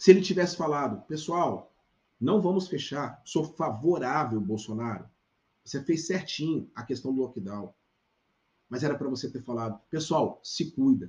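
A man's somewhat breathy, fairly high-pitched voice with lively intonation, big swings in loudness, and a moderate pace. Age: 40s. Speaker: pastor. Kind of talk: live stream opinion commentary. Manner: animated.

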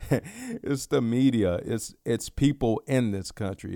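A man's dark, mellow tone with an American accent at a very slow pace, on a very clean recording with a silent background. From Dallas, Texas (South Oak Cliff). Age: 20s. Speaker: podcaster. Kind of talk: solo casual monologue. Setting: home bedroom. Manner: relaxed, filler-heavy.

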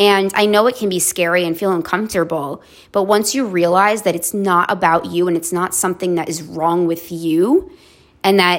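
A woman's unremarkable speaking voice, fairly low-pitched, with fairly even intonation and a moderate pace. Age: 30s. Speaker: podcast host, therapist. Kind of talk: solo monologue podcast. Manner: conversational, with filler words.

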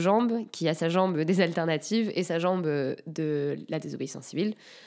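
Here a woman speaks in a fairly low pitch. The recording is very clean with a silent background. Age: 20s. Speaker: environmental activist. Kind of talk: casual interview. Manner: hesitant, many filler sounds.

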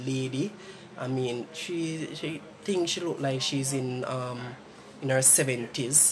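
A man's fairly high voice with a Jamaican accent, at a fairly slow pace with ordinary pitch variation, over noticeable background noise. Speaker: podcast host. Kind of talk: casual chat.

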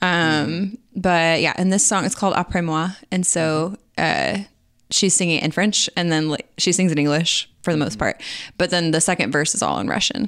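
A woman with a plain, everyday voice and a fairly low pitch talks at a fairly quick pace with very even loudness and ordinary pitch variation, on a very clean recording with a silent background. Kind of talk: casual chat.

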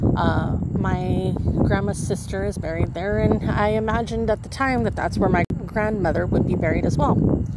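Amid noticeable background noise and audible room echo, a woman speaks at a moderate pace with hardly any pauses and very even loudness. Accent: American. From US Southwest, Imperial Valley, California. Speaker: podcast host. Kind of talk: casual monologue. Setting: outdoors in a cemetery at night. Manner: rambling, with self-repeats.

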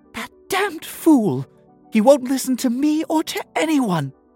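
A put-on character voice at a high pitch and moderate pace, with faint music in the background. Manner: frustrated, screaming.

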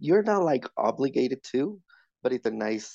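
A man's dark, mellow voice at a fairly slow pace, with ordinary pitch variation and a dry, close sound with no echo. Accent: Spanish. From Mexico City. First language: Spanish. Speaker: podcast guest. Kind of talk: casual chat.

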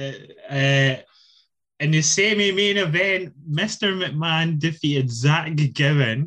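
In a British accent, the voice has a bright, sharp tone and very even loudness. It moves at a very slow pace with ordinary pitch variation. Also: man, fairly high pitch for a man. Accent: British English, can do Scottish. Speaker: wrestling podcast host. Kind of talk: casual banter.

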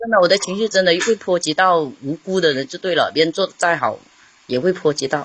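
A woman speaks with a fairly low pitch. Her pace is fairly quick, with ordinary pitch variation. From Hainan, Haikou. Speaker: caller. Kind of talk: casual chat. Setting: live-stream call-in.

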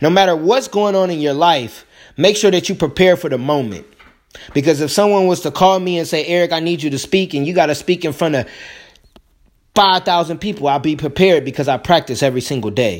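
Talking at a fairly quick pace in an American accent, a man with fairly high pitch uses an animated tone and ordinary pitch variation. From Indiana, US Midwest. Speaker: podcast host and motivational speaker. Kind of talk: motivational monologue.

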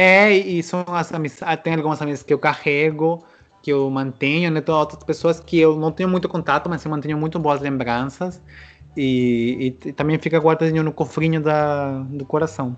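A man with a Spanish accent at a fairly high pitch and moderate pace, his intonation fairly even over noticeable background noise. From Peru, Trujillo. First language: Spanish (speaking Portuguese). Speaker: interviewee living abroad. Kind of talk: casual chat. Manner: halting.

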